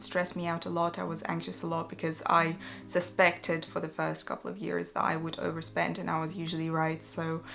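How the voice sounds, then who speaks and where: Her delivery holds a moderate pace as the woman talks. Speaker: vlogger. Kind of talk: casual chat. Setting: home, evening. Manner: quiet; hesitant, many fillers.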